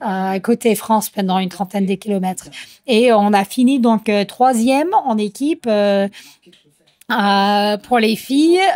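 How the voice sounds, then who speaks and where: A woman with an American accent speaks very slowly at a fairly high pitch, with ordinary pitch variation. The sound is dry and close with no echo, and the recording is very clean over a silent background. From United States. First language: English (speaking French). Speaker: trail runner athlete. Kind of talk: interview. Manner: hesitant, many fillers.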